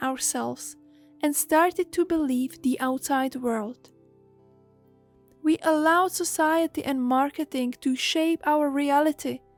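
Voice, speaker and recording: Over music in the background, a woman with a gentle, calm tone and a high pitch speaks fairly slowly with ordinary pitch variation, the sound dry and close with no echo. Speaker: hypnotherapist and meditation guide. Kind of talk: guided meditation talk.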